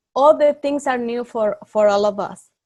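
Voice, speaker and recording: A woman's fairly high voice with ordinary pitch variation, in a Spanish accent. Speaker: youth club leader. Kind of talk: online training class. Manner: halting.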